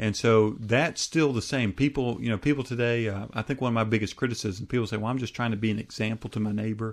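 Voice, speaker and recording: In a plain, everyday voice with an American accent, the speaker talks at a fairly quick pace with ordinary pitch variation on a very clean recording with a silent background. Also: man. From US. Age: 30s. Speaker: evangelist preacher. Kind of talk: interview. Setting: studio.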